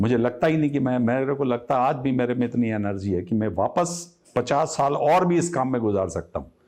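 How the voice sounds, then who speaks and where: The man has an ordinary speaking voice at a medium pitch, with lively intonation. He keeps a moderate pace with hardly any pauses. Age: 60s. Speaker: textile business owner. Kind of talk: interview.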